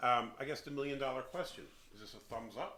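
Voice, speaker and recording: A man's bright, sharp tone with audible room echo. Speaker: beer reviewer, channel host. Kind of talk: casual chat, beer review. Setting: beer shed. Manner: hesitant, filler-heavy.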